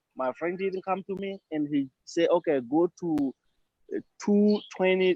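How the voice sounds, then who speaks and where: A man with a non-native accent, high pitch, ordinary pitch variation and a fairly slow pace. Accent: foreign, non-native English. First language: not English. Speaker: client of the law firm. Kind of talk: testimony. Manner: halting.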